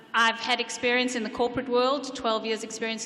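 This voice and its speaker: A woman with a South African accent speaks at a fairly high pitch over noticeable background noise. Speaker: council candidate. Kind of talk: candidate debate speech. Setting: public event with audience.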